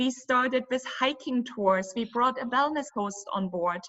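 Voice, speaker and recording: Speaking with a German accent, a woman uses a high pitch. Her pace is moderate and her pitch varies in an ordinary way. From Germany. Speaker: cruise company owner. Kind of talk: interview.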